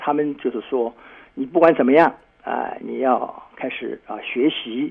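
A man talks at a moderate pace. Noticeable background noise runs behind him. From Shanghai, China. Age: 70s. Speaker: pastor. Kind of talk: interview testimony. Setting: remote call link.

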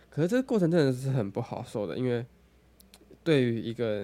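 A man is speaking fairly quickly. His tone is dark and mellow. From Taiwan, Taoyuan. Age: 20s. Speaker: podcaster and barista. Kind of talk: casual solo podcast talk. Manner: halting, many fillers and self-corrections.

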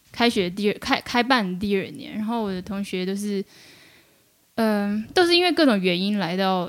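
An unremarkable speaking voice from a woman, medium in pitch with ordinary pitch variation, at a moderate pace in a very clean recording with a silent background. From mainland China from age 10, born in Taiwan. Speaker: media worker, freelance journalist. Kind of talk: casual interview chat.

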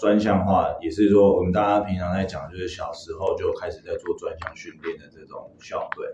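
A man at a moderate pace with hardly any pauses and big swings in loudness, over noticeable background noise. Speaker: baseball strength coach. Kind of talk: interview. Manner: halting, many fillers.

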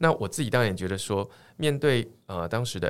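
Over a silent background in a very clean recording, a man speaks at medium pitch with lively intonation. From Taiwan, Tainan. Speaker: tech startup chairman, former professor. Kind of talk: interview.

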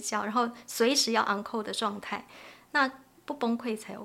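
Here a woman has a fairly high pitch and a bright, sharp tone. She talks at a moderate pace. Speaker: family caregiver advocacy organization head. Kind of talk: podcast interview conversation.

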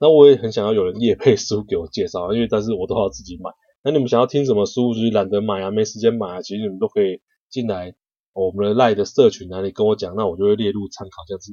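Talking very fast with big swings in loudness, a man with a fairly low, dark and mellow voice shows ordinary pitch variation in a dry, close recording with no echo. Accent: Taiwanese. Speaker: podcast host, book reviewer. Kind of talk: book review monologue. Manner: casual with many filler particles.

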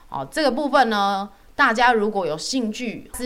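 A woman with a medium pitch speaks in an animated tone that is bright and sharp. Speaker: dietitian podcast host. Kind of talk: casual chat.

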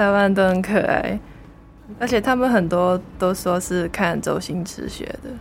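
With a Hong Kong accent, the speaker goes at a fairly slow pace with ordinary pitch variation. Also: woman, medium pitch for a woman. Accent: Hong Kong Cantonese-accented Mandarin. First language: Cantonese (speaking Chinese). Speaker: university student. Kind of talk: casual interview.

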